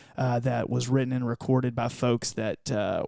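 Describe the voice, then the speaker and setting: A man with a slight Southern US accent speaks in a dark, mellow tone. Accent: southern drawl, slight. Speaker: church podcaster and worship musician. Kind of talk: casual interview chat.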